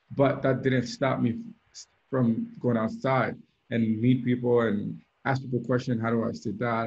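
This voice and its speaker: The pace is moderate. The voice is somewhat breathy. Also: man. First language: French (also Creole). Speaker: DJ and mentor. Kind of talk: mentorship talk on video call. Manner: hesitant, with fillers and repetitions.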